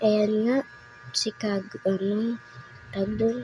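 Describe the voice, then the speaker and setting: Soft-spoken and very slow, a woman of medium pitch talks over music in the background. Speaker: gaming commentator. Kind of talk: gameplay commentary.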